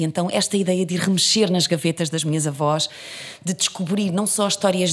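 Her intonation fairly even, a woman of medium pitch talks in an unremarkable speaking voice. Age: 40s. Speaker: actress and theatre director. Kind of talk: interview.

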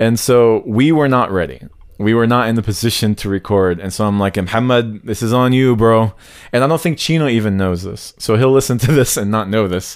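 Over a very clean recording with a silent background, a man in a normal speaking voice talks at a fairly quick pace, medium in pitch with ordinary pitch variation. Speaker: podcast co-host. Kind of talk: casual chat.

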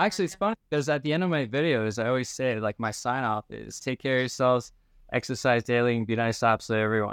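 A man in an ordinary speaking voice talks fairly quickly at medium pitch, the sound dry and close with no echo and a quiet background. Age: 40s. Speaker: medical aesthetics provider. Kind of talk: casual chat.

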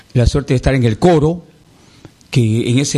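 A man with an ordinary speaking voice talks at a fairly slow pace, medium in pitch with ordinary pitch variation. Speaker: singer. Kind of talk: interview.

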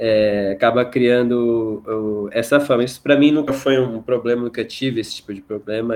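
In a plain, everyday voice, a man speaks at a moderate pace with a medium pitch and fairly even intonation. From Mato Grosso do Sul, Brazil. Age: 20s. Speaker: lawyer. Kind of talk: casual chat.

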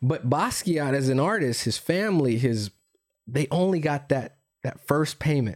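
With a Californian accent, a man talks at a moderate pace with lively intonation and very even loudness. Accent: general American, California. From US West Coast, San Francisco Bay Area. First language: Spanish. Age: 40s. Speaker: entrepreneur. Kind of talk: casual chat.

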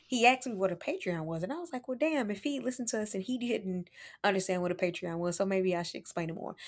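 A woman with an American accent, an animated tone and lively intonation, at a very fast pace. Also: medium pitch for a woman, very clean recording, silent background. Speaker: podcast host. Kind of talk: casual banter. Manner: animated, joking.

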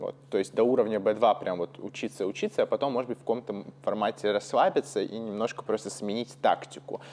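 Talking at a fairly quick pace, a man leaves hardly any pauses. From Russia. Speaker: podcast host, English teacher. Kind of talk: casual chat. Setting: call.

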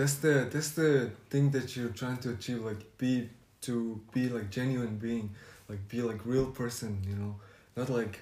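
A man speaks at a fairly slow pace, somewhat breathy, with fairly even intonation and audible room echo. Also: medium pitch for a man. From Mongolia. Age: 20s. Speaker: podcast guest. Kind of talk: casual chat. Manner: halting.

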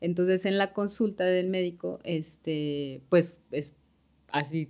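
A central Mexican accent with ordinary pitch variation. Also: woman. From Mexico City. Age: 40s. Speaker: breast cancer survivor. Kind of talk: testimony.

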